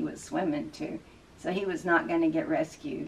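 A woman speaks at a moderate pace with a low pitch. Her intonation is fairly even.

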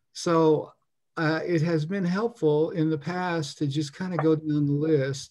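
The man's tone is dark and mellow, with fairly even intonation at a very slow pace. The background is quiet. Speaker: meeting host. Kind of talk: meeting introduction. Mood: friendly, welcoming. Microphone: video call.

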